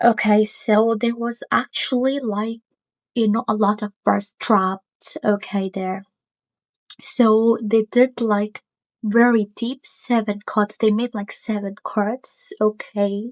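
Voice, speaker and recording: With a non-native accent, the speaker talks at a very slow pace and with fairly even intonation, in a dry, close sound with no echo. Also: woman, fairly high pitch for a woman. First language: not English. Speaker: stray animal rescuer. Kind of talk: casual talk to camera. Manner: hesitant, many fillers.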